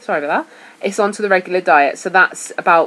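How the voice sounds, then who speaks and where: Noticeable background noise runs behind a woman whose intonation stays fairly even. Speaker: vlogger sharing weight-loss surgery diet. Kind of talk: casual vlog talk. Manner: hesitant, with fillers.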